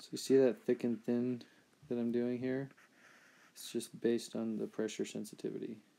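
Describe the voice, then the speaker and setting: The voice is quiet and moves at a moderate pace, with long, frequent pauses. Its loudness swings a lot. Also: man. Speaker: artist streaming a drawing session. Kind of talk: live-stream drawing commentary. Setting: live stream, lying against a beanbag chair. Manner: halting.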